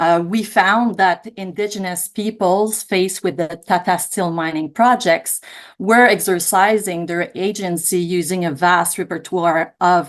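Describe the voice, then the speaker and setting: An unremarkable speaking voice comes from a woman of medium pitch. She talks at a fairly slow pace with ordinary pitch variation. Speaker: academic researcher. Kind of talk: panel discussion.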